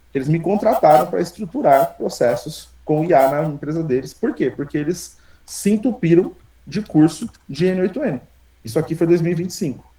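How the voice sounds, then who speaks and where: This man's voice sits high in pitch, with a dark, mellow tone, lively intonation and a moderate pace. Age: 30s. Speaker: programmer and entrepreneur teaching an AI workshop. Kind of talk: live online workshop presentation. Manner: casual, energetic with repetitions.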